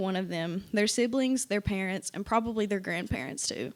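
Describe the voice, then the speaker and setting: A woman with an Appalachian accent speaks at a fairly high pitch in a very clean recording with a silent background. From eastern Kentucky, Appalachia (Pike County). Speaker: university student, essay contest winner. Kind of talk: reading aloud an essay.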